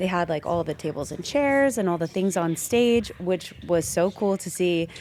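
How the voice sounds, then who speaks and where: Over noticeable background noise, a woman with a fairly low pitch talks at a moderate pace in an animated tone with lively intonation. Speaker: dance competition podcast co-host. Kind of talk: casual chat.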